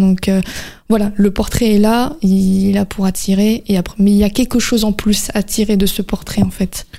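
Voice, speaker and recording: A woman's medium-pitched voice, dark and mellow, with fairly even intonation at a moderate pace. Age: 20s. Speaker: painter. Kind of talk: interview. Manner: halting.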